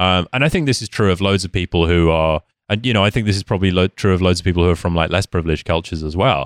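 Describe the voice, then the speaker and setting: A man speaks very fast with a British accent, his pitch very deep and low with ordinary variation. The sound is dry and close, with no echo. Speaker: podcast guest. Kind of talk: casual chat.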